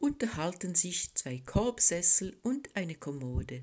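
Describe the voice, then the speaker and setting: On a very clean recording with a silent background, a woman with a French Swiss accent speaks at a very slow pace, her fairly low pitch moving in very wide swings. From French-speaking Switzerland. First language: French (speaking German). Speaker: poet. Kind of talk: poetry reading.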